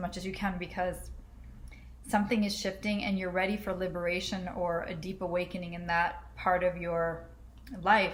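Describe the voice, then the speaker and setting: In a room with audible echo, a woman of medium pitch talks at a moderate pace with fairly even intonation. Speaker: astrologer. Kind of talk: astrology forecast monologue. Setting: home, in a dark apartment. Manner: casual, conversational with fillers.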